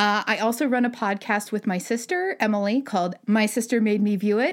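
Fairly quick and fairly high-pitched, a woman with a plain, everyday voice on a very clean recording with a silent background. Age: 30s. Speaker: animation story artist and director. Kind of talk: casual chat.

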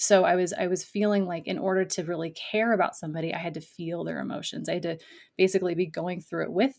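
This is a plain, everyday voice. The woman speaks at a fairly low pitch with fairly even intonation. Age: young. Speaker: life coach for artists. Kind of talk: interview conversation.

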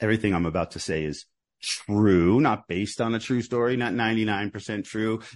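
Speaking at a fairly quick pace, a man has a fairly low pitch and an ordinary speaking voice. The background is quiet. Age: 50s. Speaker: author and journalist. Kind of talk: interview.

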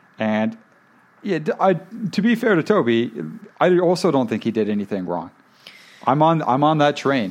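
A man with a fairly high pitch moves at a moderate pace, pausing long and often while his pitch swings very widely. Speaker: podcast host. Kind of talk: casual chat reviewing a reality show.

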